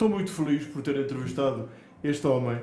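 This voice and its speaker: A man's fairly high voice at a moderate pace, with audible room echo and noticeable background noise. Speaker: podcast host, veteran radio commentator. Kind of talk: interview.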